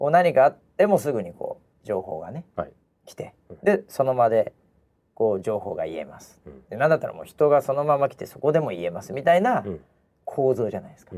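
A man's fairly high voice, dark and mellow with vocal fry, makes very wide pitch swings and big swings in loudness. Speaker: podcast host. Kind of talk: casual chat. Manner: chatty, laughing.

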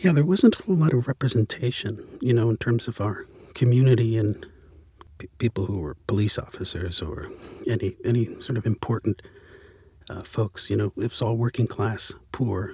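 Heard in a dry, close sound with no echo, a man with an American accent speaks at a moderate pace, somewhat breathy, at medium pitch with ordinary pitch variation. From Central California. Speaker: playwright and director. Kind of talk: interview. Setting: studio. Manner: halting.

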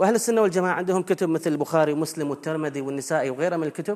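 A man with a fairly high pitch speaks at a fairly quick pace, his pitch varying in an ordinary way. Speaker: lecturer on Islamic sects. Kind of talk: lecture. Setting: hall with live audience.

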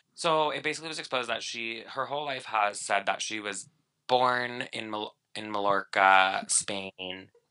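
Speaking with a slight Chicago accent at a moderate pace, a man has a bright, sharp tone and a medium pitch with ordinary variation, set against a quiet background. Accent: slight Midwestern accent picked up in Chicago. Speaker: podcast co-host. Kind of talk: casual chat. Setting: remote call.

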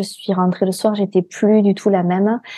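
A woman speaks at a medium pitch in a dark, mellow tone. Her pace is fairly slow and her intonation fairly even. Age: 40s. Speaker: entrepreneur and healer. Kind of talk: interview. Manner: hesitant, many fillers.

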